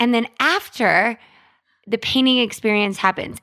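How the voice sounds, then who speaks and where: A woman talks in an ordinary speaking voice, fairly high in pitch, with ordinary pitch variation. The recording is very clean, with a silent background. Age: 30s. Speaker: marketing podcast co-host. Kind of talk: casual chat.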